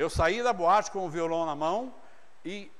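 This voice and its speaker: A man speaks with an animated tone and a high pitch. His pitch varies in an ordinary way, and the room echo is audible. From interior of São Paulo state, Brazil. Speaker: pastor. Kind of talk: sermon. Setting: church.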